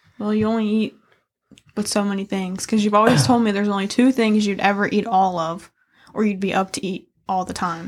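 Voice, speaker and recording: A woman's ordinary speaking voice at medium pitch, fairly quick in pace and fairly even in intonation. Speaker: podcast host. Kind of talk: casual banter, crude humor.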